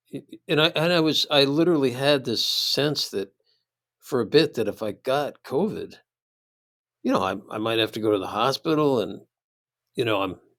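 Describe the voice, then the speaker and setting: A man with a Midwestern accent and a fairly high pitch talks at a moderate pace with long, frequent pauses, on a very clean recording with a silent background. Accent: American Midwest. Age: 60s. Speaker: philosophy professor. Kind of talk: casual chat.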